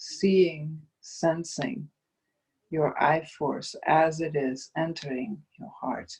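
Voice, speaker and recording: In a Dutch accent, the speaker talks at a very slow pace in a soothing tone. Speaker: meditation guide. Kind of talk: guided meditation. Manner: slow, soothing.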